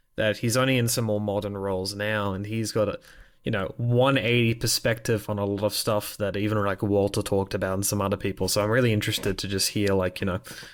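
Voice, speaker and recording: A man talks very fast in a fairly low pitch with a monotone, flat intonation. The recording is very clean, with a silent background. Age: 20s. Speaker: gaming interviewer. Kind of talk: casual interview. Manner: halting.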